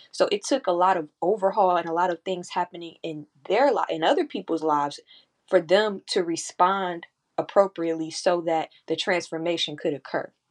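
At a moderate pace, a woman with a plain, everyday voice speaks at a fairly low pitch with ordinary pitch variation, in a dry, close sound with no echo over a quiet background. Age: 20s. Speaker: podcaster and spiritual worker. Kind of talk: casual spiritual talk. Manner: conversational with fillers.

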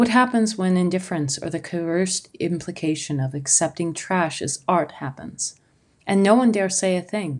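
Against a quiet background, a woman speaks at a moderate pace with a fairly low pitch and ordinary pitch variation. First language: not English. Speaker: solo podcaster, artist and photographer. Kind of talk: reflective monologue essay.

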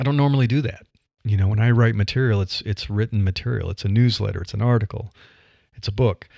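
The speaker has a Midwestern American accent and a dark, mellow tone, talking at a very fast pace. The recording is very clean, with a silent background. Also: man, fairly low pitch for a man. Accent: flat Midwestern American. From US Midwest. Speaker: podcaster and career newsletter writer. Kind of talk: solo podcast monologue. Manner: conversational, with laughs and fillers.

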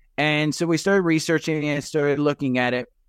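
On a very clean recording with a silent background, a man with a New Jersey accent speaks fairly quickly in a fairly high pitch with fairly even intonation. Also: dry, close sound with no echo. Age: 50s. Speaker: retired investor and stock podcaster. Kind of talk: casual interview chat.

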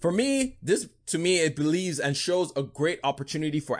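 Against a quiet background, a man with an American accent speaks at a fairly quick pace in an animated tone. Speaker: podcast host. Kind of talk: solo podcast monologue, casual news commentary. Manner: casual, conversational, animated.

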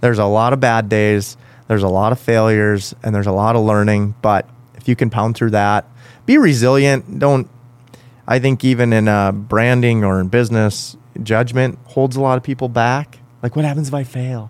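This man has an unremarkable speaking voice. He speaks at medium pitch with fairly even intonation. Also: moderate pace. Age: 30s. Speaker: podcast host, entrepreneur. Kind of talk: casual interview. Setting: studio.

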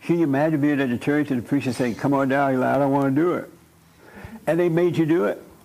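In an American accent, a man talks at a very fast pace with a fairly high pitch. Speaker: church leader, preacher. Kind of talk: interactive church discussion. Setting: church meeting with audience. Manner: animated, laughing.

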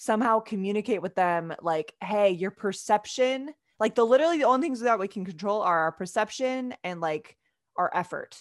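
A woman's ordinary speaking voice, fairly quick in pace with lively intonation. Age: 30s. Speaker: physical therapy student and athletic trainer. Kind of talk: casual interview. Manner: many fillers like um and like.

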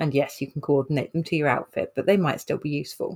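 A woman with a British accent speaks in a very deep, low pitch. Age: 30s. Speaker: occupational therapist. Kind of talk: casual chat.

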